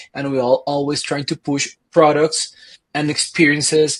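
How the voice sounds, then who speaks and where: This man's voice is somewhat breathy. It sits at a fairly high pitch. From Colombia. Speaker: marketing consultant. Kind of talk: podcast interview.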